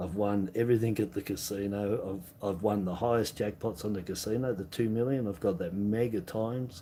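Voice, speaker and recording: A man with an Australian accent, fairly low pitch, a dark, mellow tone, fairly even intonation and a fairly quick pace. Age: 60s. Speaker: coin collecting streamer. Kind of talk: casual live stream chat. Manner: halting, many fillers.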